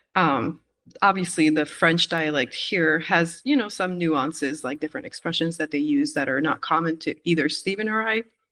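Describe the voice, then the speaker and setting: Lively in intonation, a woman speaks at a moderate pace in a plain, everyday voice. Her pitch is fairly low, against a quiet background. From Quebec, Canada. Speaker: missionary. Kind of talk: interview conversation.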